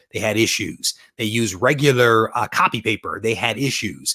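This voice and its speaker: A man with a Detroit accent talks at a moderate pace in an animated, bright, sharp tone. The sound is dry and close with no echo, on a very clean recording with a silent background. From US Midwest, Detroit. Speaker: comic book collector and YouTuber. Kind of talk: live stream chat.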